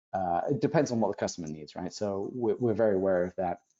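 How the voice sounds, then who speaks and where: A man speaks at a very fast pace with a British accent. His pitch is fairly low. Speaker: solutions presenter. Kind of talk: webinar presentation.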